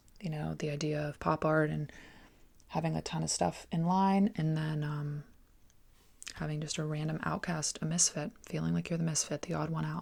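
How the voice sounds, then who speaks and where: A soft-spoken woman is heard. The recording is very clean, with a silent background. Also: moderate pace. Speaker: artist. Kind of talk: sketchbook tour voiceover.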